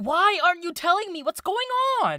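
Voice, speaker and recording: This is a put-on character voice at an extremely high pitch. The pace is moderate. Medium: audio drama. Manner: defensive, high-strung.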